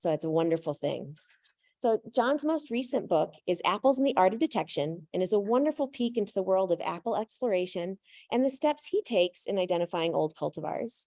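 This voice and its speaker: Loud and fairly quick, a woman speaks at medium pitch with very wide pitch swings, a dark, mellow tone and a dry, close sound with no echo. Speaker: event host. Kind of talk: speaker introduction. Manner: loud, projecting without microphone. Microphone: no microphone.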